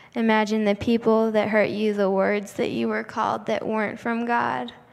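A woman's fairly high voice at a moderate pace, with audible room echo around it. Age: 20s. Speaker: nursing student and guest speaker. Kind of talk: shared church message with guided prayer.

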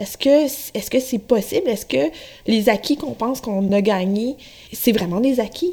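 This woman's voice sits fairly high in pitch and has a dark, mellow tone. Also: lively intonation, moderate pace. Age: 30s. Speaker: radio producer, interviewer. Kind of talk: interview. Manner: hesitant, many fillers.

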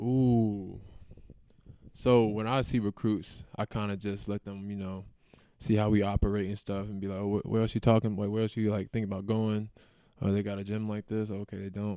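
Monotone and flat, a man with an American accent speaks at a moderate pace in a dark, mellow tone and fairly low pitch. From US South, Raleigh, North Carolina. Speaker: college basketball player. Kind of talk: interview.

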